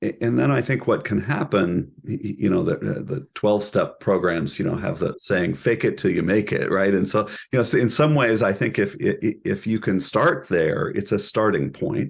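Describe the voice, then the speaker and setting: A man with a fairly low voice and vocal fry talks at a moderate pace with hardly any pauses, his pitch swinging very widely. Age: middle-aged. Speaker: professor, couple and family therapy program director. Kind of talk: interview conversation. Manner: halting, many repeated words.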